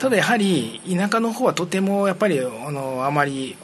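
A man with a fairly high pitch talks at a fairly quick pace with very wide pitch swings. There is noticeable background noise. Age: 50s. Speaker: education advisor working in Myanmar. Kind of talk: casual interview.

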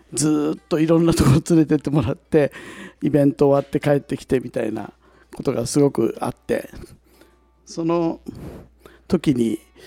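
Music plays in the background of a dry, close recording with no echo. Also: man. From Ishigaki, Yaeyama, Okinawa. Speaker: singer-songwriter. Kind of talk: casual chat. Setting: public recording with audience.

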